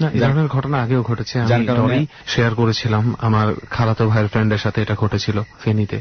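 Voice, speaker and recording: A man speaks with monotone, flat intonation and very even loudness. Noticeable background noise runs underneath. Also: medium pitch for a man. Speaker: radio host of a horror show. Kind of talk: casual banter with a friend.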